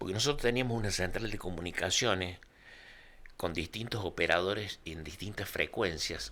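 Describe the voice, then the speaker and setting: With a very deep, low pitch and a bright, sharp tone, a man talks at a moderate pace with ordinary pitch variation. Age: 60s. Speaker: retired volunteer fire chief. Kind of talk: interview storytelling.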